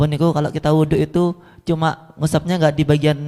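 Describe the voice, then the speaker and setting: A man's fairly high, dark and mellow voice with a Javanese accent, monotone, flat intonation and a moderate pace. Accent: Javanese Indonesian. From Solo, Central Java. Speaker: audience member asking question. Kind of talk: question from audience.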